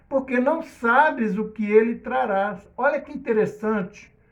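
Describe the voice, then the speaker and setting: A man speaks at a fairly slow pace with lively intonation. Room echo is audible. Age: 60s. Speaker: preacher. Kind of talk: sermon.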